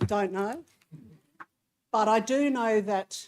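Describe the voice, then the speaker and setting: A woman with an Australian accent speaks at a fairly slow pace with ordinary pitch variation. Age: 60s. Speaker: councillor. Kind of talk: council meeting debate. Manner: hesitant, many fillers.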